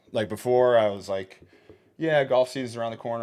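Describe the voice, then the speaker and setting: In a very clean recording with a silent background, a man talks. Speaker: podcast host. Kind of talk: casual monologue. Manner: fast; animated.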